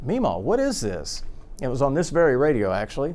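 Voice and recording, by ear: Big pitch swings run through a slightly mellow tone delivered at a fairly quick pace. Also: man.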